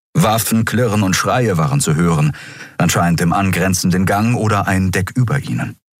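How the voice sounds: Simply a natural reading voice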